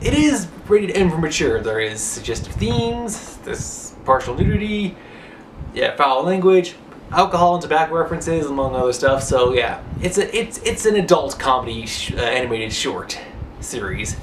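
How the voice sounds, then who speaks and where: Noticeable background noise sits behind a man with a high-pitched voice. He talks at a moderate pace with lively intonation. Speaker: online show reviewer. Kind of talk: casual TV show review to camera. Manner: casual, hesitant.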